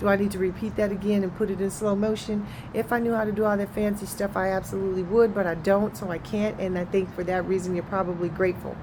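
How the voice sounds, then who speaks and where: Over noticeable background noise and audible room echo, a woman of medium pitch races along very fast in a flat monotone, with hardly any pauses. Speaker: network marketing promoter. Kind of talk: casual vlog monologue. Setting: outdoors.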